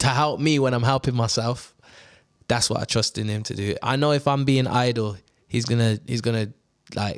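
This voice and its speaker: A man talks with a Birmingham accent. His intonation stays fairly even. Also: medium pitch for a man, moderate pace. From Birmingham, England. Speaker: actor and radio presenter. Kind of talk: casual chat.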